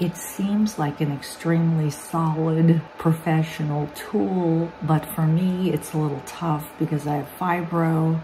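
A woman with a low pitch and a dark, mellow tone speaks at a fairly slow pace with fairly even intonation and few pauses over faint background noise.

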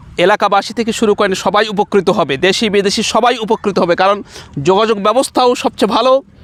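The man's voice sits at a high pitch with ordinary pitch variation. His loudness stays very even. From Bangladesh, Nilphamari (northern Bangladesh). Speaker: Islamic scholar and madrasa principal. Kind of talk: public appeal to camera. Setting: outdoors on site.

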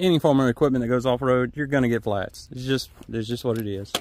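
A man speaks with ordinary pitch variation, the sound dry with no echo. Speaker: farmer vlogger. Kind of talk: casual vlog chat. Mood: relaxed, upbeat. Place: farm machine.

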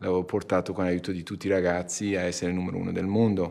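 A man speaks in monotone, flat intonation. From Iran. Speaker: company CEO. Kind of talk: interview. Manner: halting. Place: meeting room.

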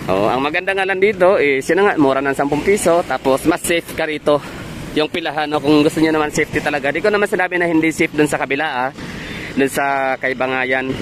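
Dry with no echo and light background noise, the recording has a man speaking at a very fast pace with ordinary pitch variation. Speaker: travel vlogger. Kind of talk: casual vlog chat. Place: street. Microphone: phone near.

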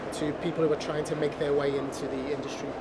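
A very fast-talking man over loud background noise. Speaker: show host and actor. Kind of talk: casual interview chat. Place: cafe.

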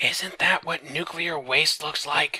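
A man whispers in a raspy, put-on character voice. He goes at a fairly slow pace. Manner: loud whisper.

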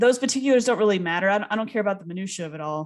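Against a quiet background, a woman speaks at a fairly high pitch with lively intonation. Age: 30s. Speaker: podcast co-host, speech teacher. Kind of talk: casual chat. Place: home room. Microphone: studio mic.

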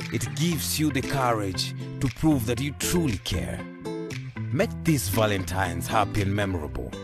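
A man with a fairly low pitch speaks in very wide pitch swings. Clear music plays in the background, and the sound is dry with no echo. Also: moderate pace. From Kenya. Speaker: voice actor. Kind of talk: radio commercial read. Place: studio. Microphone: studio mic.

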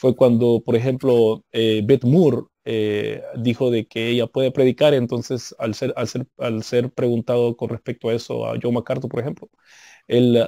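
The voice has a dark, mellow tone and fairly even intonation at a moderate pace, the sound dry with no echo over a quiet background. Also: man. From United States. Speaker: Bible teacher / apologetics guest; Bible teacher, guest. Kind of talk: interview on theology. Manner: halting, many repetitions and fillers. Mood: calm, didactic. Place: home room. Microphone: video call.

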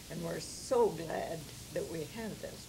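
Noticeable background noise sits under a woman talking at a very slow pace. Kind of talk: interview answer. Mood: cheerful, fond. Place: home room.

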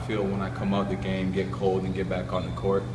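Noticeable background noise runs beneath a man who talks at a very fast pace. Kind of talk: interview answer. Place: hall. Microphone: handheld.

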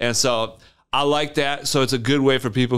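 Fairly quick male speech in a Michigan accent, fairly even in intonation, over a quiet background. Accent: Upper Midwest (Michigan) American. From West Michigan (Wyoming, near Grand Rapids). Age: 30s. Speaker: small business owner, junk removal; podcast guest. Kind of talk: casual interview chat. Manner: casual, filler-heavy. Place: studio. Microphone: studio mic.

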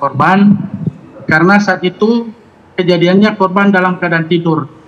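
Amid noticeable background noise, a man with a high pitch talks at a moderate pace with fairly even intonation. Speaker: police officer. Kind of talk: live news interview. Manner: formal. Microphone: connection initially failed.

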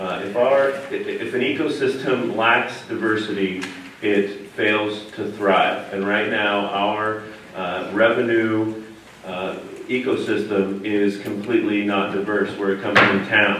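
A man with an American accent at a fairly slow pace and fairly low pitch, with fairly even intonation, audible room echo and light background noise. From Davis, California; California. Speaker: city council candidate; council candidate. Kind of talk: candidate forum debate. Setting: church hall with live audience.

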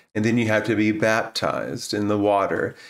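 Quiet background and a man speaking at a fairly low pitch and moderate pace. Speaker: former minister telling his story. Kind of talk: casual vlog chat. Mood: calm, reflective. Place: home room. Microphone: studio mic.

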